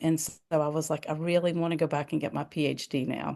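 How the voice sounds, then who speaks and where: In a Southern US accent, a woman speaks at a moderate pace and a fairly low pitch. The background is quiet. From US South. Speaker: nursing professor and associate dean. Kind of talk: interview. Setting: video call. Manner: casual, conversational.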